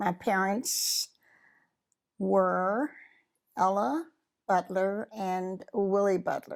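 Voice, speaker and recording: Very clean and silent in the background, this recording features a woman with an American accent. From US South, Mississippi. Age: 80s+. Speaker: widow sharing life story. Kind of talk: interview testimony. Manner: halting.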